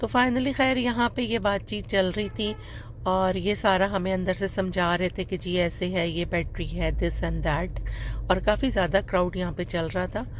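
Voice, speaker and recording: The voice has vocal fry, a moderate pace and ordinary pitch variation. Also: woman, medium pitch for a woman. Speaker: vlogger. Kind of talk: casual vlog voice-over. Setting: voice-over recorded later. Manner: fumbling words.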